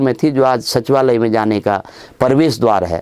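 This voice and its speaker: A man's moderately paced speech is heard over a quiet background. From Uttarakhand, Chamoli district (Garhwal); Uttarakhand, India. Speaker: education official and teacher trainer; teacher trainer. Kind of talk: monologue life story. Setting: studio. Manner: formal. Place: studio. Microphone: lapel.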